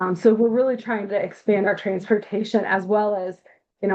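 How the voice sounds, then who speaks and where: A woman talks at a medium pitch. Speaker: nonprofit reentry program presenter. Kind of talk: presentation on a video call meeting.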